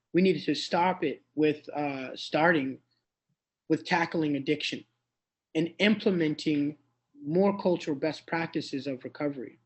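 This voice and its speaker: A man with an American accent, fairly high in pitch, at a moderate pace with ordinary pitch variation. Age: 30s. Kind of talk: speech at online celebration. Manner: halting, with fillers and repetitions.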